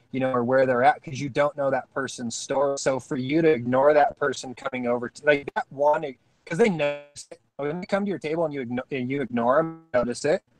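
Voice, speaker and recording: Over music in the background, a man with a fairly high pitch and ordinary pitch variation talks at a fairly quick pace with hardly any pauses, his loudness swinging widely in a dry, close sound with no echo. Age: 30s. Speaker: off-grid living youtuber. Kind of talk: casual chat.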